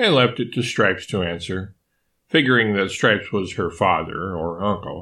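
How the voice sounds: A natural reading voice shows ordinary pitch variation, and the background stays quiet.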